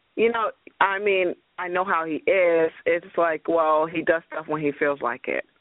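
A woman with a normal speaking voice, fairly low in pitch, at a fairly slow pace with ordinary pitch variation. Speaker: caller. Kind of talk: psychic reading. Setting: phone call.

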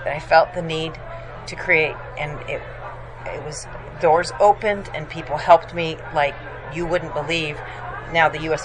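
A woman speaks at a moderate pace in a very deep, low pitch with fairly even intonation. Background noise is noticeable. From raised abroad, moved to US as older teenager. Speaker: magazine publisher. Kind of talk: interview. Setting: conference venue.

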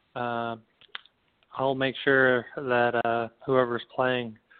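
A man speaks at a fairly slow pace in an unremarkable speaking voice, his pitch medium. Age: 30s. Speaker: former pro soccer player and coach. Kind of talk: casual interview.

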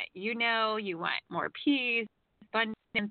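Medium pitch from a woman, a plain, everyday voice with ordinary pitch variation. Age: 40s. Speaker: radio host and psychic reader. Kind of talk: call-in radio show with spiritual readings.

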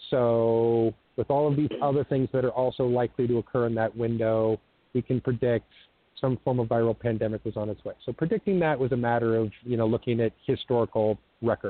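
At a fairly quick pace, a man with an American accent talks at medium pitch with fairly even intonation. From US Pacific Northwest (Eugene, Oregon). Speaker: self-described military officer, disclosure speaker. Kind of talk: radio interview. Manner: halting, many fillers.

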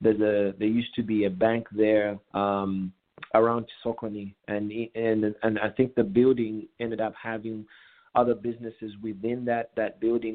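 Monotone, flat intonation marks a man's fairly low-pitched voice. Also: moderate pace. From Zambia, Kitwe. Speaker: community association president. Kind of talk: radio interview.

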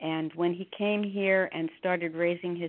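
With an American accent, a woman talks at a fairly low pitch and with fairly even intonation. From northern New Jersey. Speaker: religious book reader. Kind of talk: interview.

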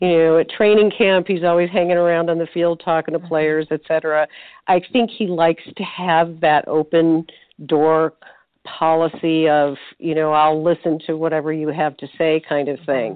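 A woman with an ordinary speaking voice talks at a fairly low pitch. Her intonation is fairly even and her pace moderate. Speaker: retired nurse turned sports writer. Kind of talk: sports interview chat.

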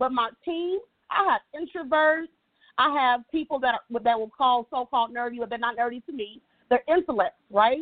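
A loud, animated woman's voice, high in pitch, at a moderate pace with ordinary pitch variation. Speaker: financial services executive and nonprofit founder. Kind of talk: motivational talk.

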